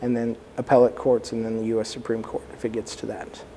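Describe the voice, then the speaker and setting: Man with an American accent over light background noise. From US South, Texas (San Antonio); Texas. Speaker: immigration lawyer. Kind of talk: interview. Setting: studio. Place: studio. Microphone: lapel.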